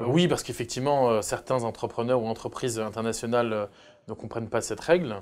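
This man speaks at medium pitch and a moderate pace, with ordinary pitch variation. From France. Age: 30s. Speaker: entrepreneur; guest. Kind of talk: interview. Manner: hesitant, many filler sounds. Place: studio. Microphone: lapel.

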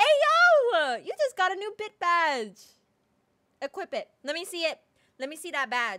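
Against a quiet background, a woman raises and projects her voice at an extremely high pitch, swinging her pitch very widely at a moderate pace with long, frequent pauses. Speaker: livestreamer. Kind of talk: casual livestream chat with viewers. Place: home room.

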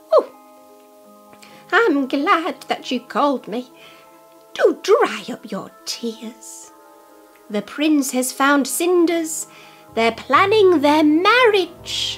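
A female-sounding put-on character voice, high in pitch, speaks at a very slow pace with long, frequent pauses over faint music in the background. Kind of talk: children's book read-aloud. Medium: read story. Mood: kind, reassuring.

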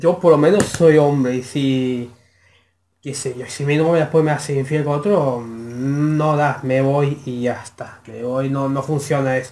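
A man speaks at a fairly slow pace in a Rioplatense accent. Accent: Argentine Rioplatense Spanish. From Argentina. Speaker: YouTube reaction creator. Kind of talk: video reaction commentary. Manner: halting, many fillers. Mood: opinionated, scornful.

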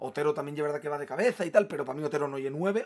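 This man's voice sits fairly high, with ordinary pitch variation. He talks at a very fast pace. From Asturias, Spain. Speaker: football fan youtuber. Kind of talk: match opinion monologue. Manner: animated. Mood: frustrated, opinionated. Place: home room.

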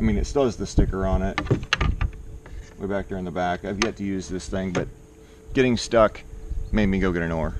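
Dry, echo-free sound over loud background noise, with ordinary pitch variation and a fairly quick pace. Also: man. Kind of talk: casual vlog chat. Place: garden. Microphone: phone near.

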